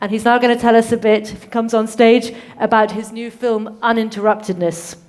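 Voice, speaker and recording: A woman with a British accent at a fairly high pitch and moderate pace. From UK. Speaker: conference moderator. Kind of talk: conference moderation.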